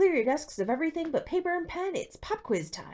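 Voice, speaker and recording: In a put-on character voice, someone cackles at an extremely high pitch, swinging very widely up and down at a fairly quick pace. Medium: read story. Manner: cackling, gleeful.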